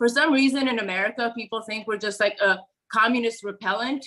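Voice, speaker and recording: Speaking at a moderate pace, a woman with a Romanian accent uses a fairly high pitch with ordinary variation. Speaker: political commentator. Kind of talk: interview.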